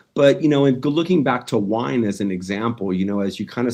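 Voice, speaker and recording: A man's normal speaking voice with an American accent, lively intonation and a fairly quick pace. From US West Coast, Los Angeles. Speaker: cannabis company co-founder. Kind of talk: interview.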